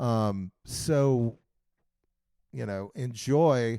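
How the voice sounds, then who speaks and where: A man's medium-pitched voice, dark and mellow in tone, with ordinary pitch variation on a very clean recording with a silent background. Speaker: podcast host. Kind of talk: casual interview. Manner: stuttering tonight.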